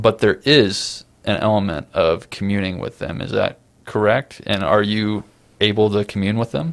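An unremarkable speaking voice: a man's fairly low pitch, ordinary pitch variation and a moderate pace. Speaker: podcast host. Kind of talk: interview conversation.

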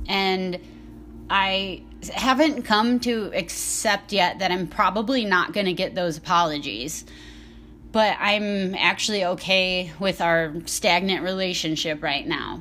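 The woman's pitch sits in the medium range, with ordinary variation. She speaks at a fairly slow pace. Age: 20s. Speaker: podcast host in recovery. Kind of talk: casual monologue. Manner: rambling, hesitant with fillers.

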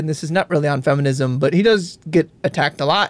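A man speaks with an American accent at a very fast pace. The sound is dry and close, with no echo. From Wisconsin. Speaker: podcast host. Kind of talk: casual chat.

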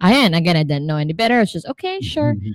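There are very wide pitch swings in a woman's voice, heard with a dry, close sound with no echo. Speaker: freelance learning designer, podcaster. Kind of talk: casual interview.

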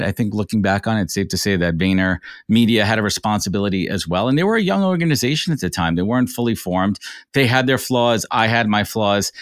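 A man with an American accent speaks at a very fast pace with lively intonation. The recording is very clean, with a silent background. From New York. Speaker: recruiter and business founder. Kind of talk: interview.

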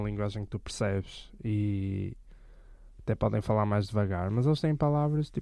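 A man with a plain, everyday voice talks at a moderate pace and medium pitch. His pitch varies in an ordinary way, against a quiet background. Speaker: podcast co-host. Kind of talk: casual chat.

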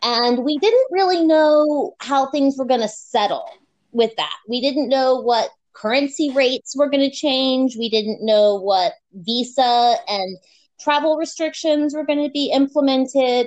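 In an American accent, a woman with a high pitch talks at a fairly slow pace with ordinary pitch variation. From US. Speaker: podcast guest, expat. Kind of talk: casual interview chat. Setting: remote call.

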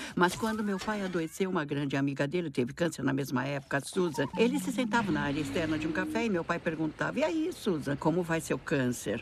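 Over noticeable background noise, a woman speaks at a fairly quick pace in a very deep, low voice with lively intonation and hardly any pauses. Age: 60s. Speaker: writer. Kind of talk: casual chat.

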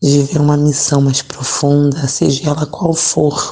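A woman speaks very slowly in a very deep, low voice with monotone, flat intonation. Her tone is dark, mellow and somewhat breathy. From Rio de Janeiro, Brazil (Nilópolis). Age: 30s. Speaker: lay missionary and teacher. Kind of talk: interview testimony.

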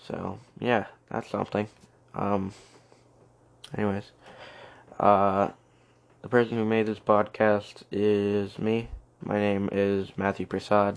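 A man's fairly low, clear, smooth voice with vocal fry, monotone, flat intonation, a slow pace, and long, frequent pauses

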